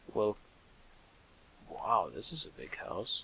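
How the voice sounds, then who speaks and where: Very slowly, a man speaks. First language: German. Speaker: let's play gamer. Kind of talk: gameplay commentary. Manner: halting, self-correcting.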